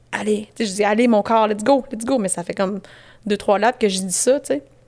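The woman speaks in a Quebec accent at a fairly high pitch with fairly even intonation. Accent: Québécois French. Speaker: endurance athlete and coach. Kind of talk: casual interview.

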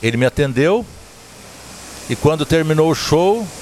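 At a fairly slow pace, a man speaks in a fairly high pitch with lively intonation. Noticeable background noise can be heard. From Zona da Mata, Minas Gerais, Brazil. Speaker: podcast host, sertanejo music storyteller. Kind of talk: casual interview chat. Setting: recorded at a countryside venue.

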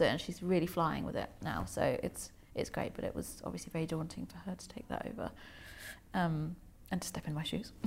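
A woman speaks at a fairly quick pace. Vocal fry runs through her voice. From Germany. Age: 30s. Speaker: charity founder. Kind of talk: casual chat.

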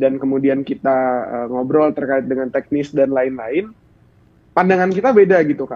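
The man speaks at a fairly high pitch with ordinary pitch variation. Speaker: student union president. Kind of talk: talk show interview.

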